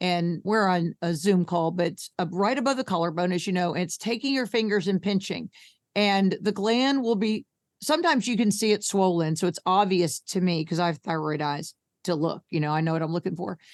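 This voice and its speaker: A woman with an American accent speaks at a fairly quick pace and medium pitch, with ordinary pitch variation. The sound is dry and close with no echo. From US Northeast. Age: 60s. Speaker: health coach and patient advocate. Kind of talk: podcast interview. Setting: video call. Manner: blunt, brash.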